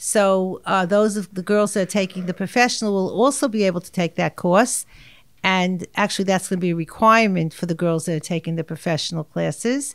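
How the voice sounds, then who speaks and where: With a New York accent, a woman speaks at a fairly quick pace over a quiet background. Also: ordinary pitch variation. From New York, Far Rockaway. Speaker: art teacher. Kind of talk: interview. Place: meeting room. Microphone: studio mic.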